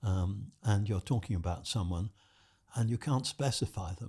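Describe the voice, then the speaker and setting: Over a silent background in a very clean recording, a man with a British accent speaks at a moderate pace in a fairly low pitch, his dark, mellow tone somewhat breathy and his pitch varying an ordinary amount. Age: 90s. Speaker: retired psychology professor. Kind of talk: podcast interview answer. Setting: studio.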